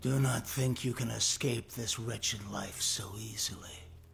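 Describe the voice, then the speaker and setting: A man uses a put-on character voice that is raspy and menacing in tone, medium in pitch with fairly even intonation. Clear background noise sits behind him. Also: moderate pace. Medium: short film. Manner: mocking, menacing.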